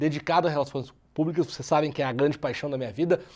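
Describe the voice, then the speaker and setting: In a very clean recording with a silent background, the speaker's tone is dark and mellow. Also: man. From southern Brazil, Porto Alegre. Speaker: podcast host, public relations entrepreneur. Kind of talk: casual interview podcast.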